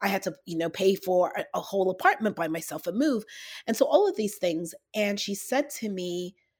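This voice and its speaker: On a very clean recording with a silent background, an ordinary speaking voice talks at a fairly slow pace with lively intonation. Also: woman. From Toronto, Canada (born in London, England). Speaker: author and speaker. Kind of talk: casual interview.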